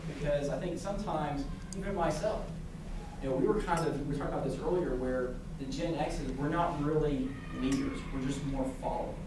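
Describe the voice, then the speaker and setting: At a fairly quick pace, a man with a fairly high pitch speaks amid noticeable background noise and audible room echo. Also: ordinary pitch variation. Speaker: guest speaker from a sports apparel company. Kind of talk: lecture. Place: classroom. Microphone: camera far.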